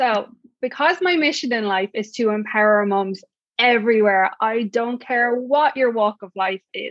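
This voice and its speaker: Here a woman speaks in a high pitch with an Irish accent. She talks at a fairly slow pace with ordinary pitch variation. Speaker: podcast host and mom empowerment coach. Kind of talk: podcast interview. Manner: sweet, warm.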